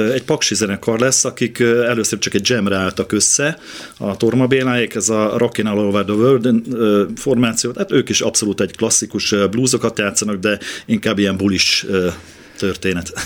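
An unremarkable speaking voice, this man's has a medium pitch, a moderate pace, fairly even intonation and very even loudness. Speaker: bass guitarist and festival organizer. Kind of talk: radio interview.

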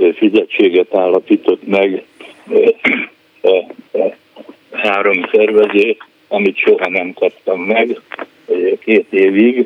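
A man speaks at a very slow pace. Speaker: radio caller, retired former press officer. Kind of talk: phone-in question.

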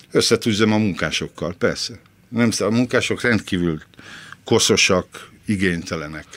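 With an unremarkable speaking voice, a man talks fairly slowly at a fairly low pitch, using ordinary pitch variation and very even loudness. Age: 60s. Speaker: former film critic, cleaner. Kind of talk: interview.

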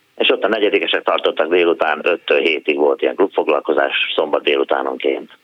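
The delivery is fairly quick with hardly any pauses and very even loudness throughout. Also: man. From Hungary, Szentes. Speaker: former DJ and pantomime performer. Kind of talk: phone-in chat.

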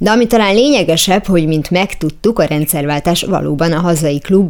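This woman has a normal speaking voice with fairly low pitch and ordinary pitch variation. She moves along at a fairly quick pace. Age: 40s. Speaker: radio host. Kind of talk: radio interview.

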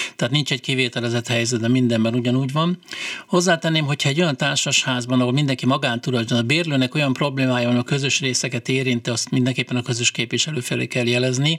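Noticeable background noise sits behind a man speaking at a very fast pace. His medium-pitched voice keeps very even loudness and fairly even intonation. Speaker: condominium managers' association president. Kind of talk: radio call-in Q&A. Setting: studio.

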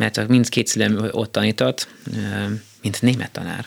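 A man with a slight non-native accent speaks at a moderate pace over noticeable background noise. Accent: slight foreign accent in Hungarian. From Austria (Vienna) and US. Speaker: conductor and composer. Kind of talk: casual interview. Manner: halting.

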